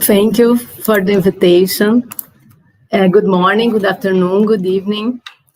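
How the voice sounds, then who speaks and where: This woman has a medium pitch and fairly even intonation, speaking with a Brazilian Portuguese accent. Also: moderate pace. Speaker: activist and journalist. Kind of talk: class presentation.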